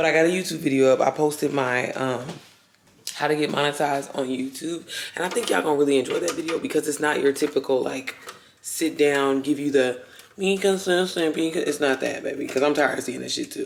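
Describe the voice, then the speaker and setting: Over noticeable background noise, a woman talks at a very fast pace in a very deep, low pitch with ordinary pitch variation. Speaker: lifestyle vlogger and online business creator. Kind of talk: casual vlog. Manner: casual, chatty.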